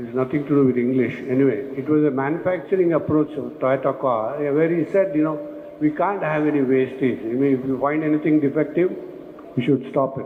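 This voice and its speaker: A man's fairly high voice, fairly quick and fairly even in intonation, with audible room echo and noticeable background noise. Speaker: construction management speaker. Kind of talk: conference presentation. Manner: fast.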